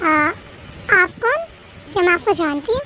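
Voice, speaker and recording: Putting on a character voice at an extremely high pitch, a woman talks fairly quickly with lively intonation while background noise is clearly heard. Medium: read story.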